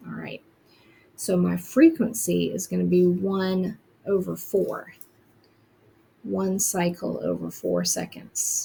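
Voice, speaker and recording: The pace is very slow as a woman talks. Long pauses come often. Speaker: teacher. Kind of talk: tutorial. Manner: casual, with fillers.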